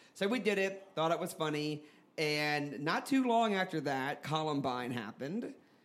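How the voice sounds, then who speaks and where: With audible room echo, a man in an American accent speaks at a moderate pace with fairly high pitch and lively intonation. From US South, New Orleans. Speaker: comedy theater founder and improviser. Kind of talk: live comedy podcast storytelling. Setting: stage with audience.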